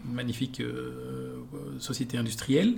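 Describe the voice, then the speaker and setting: Noticeable background noise sits behind this man as he talks. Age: 40s. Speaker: entrepreneur. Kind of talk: interview.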